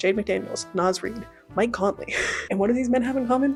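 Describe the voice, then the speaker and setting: Lively intonation runs through the very fast speech, with music in the background. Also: woman. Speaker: book youtuber. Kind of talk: casual talk to camera. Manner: fast, chatty.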